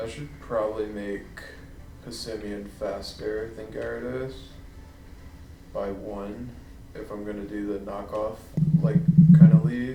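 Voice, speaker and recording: A man mumbles at a fairly slow pace with a fairly low pitch, ordinary pitch variation, and long, frequent pauses. His loudness swings widely, and the recording has audible room echo and noticeable background noise. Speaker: gaming streamer. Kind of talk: gameplay commentary. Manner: mumbling; hesitant.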